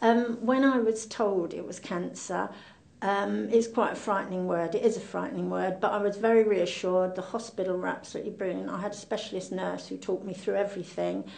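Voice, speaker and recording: A woman with an English accent, fairly quick pace, and audible room echo. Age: 70s. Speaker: cancer patient. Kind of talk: testimony.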